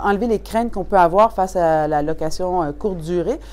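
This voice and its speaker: A woman with a Quebec accent speaks at a moderate pace with ordinary pitch variation. There is noticeable background noise. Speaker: customer giving a testimonial. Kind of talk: testimonial.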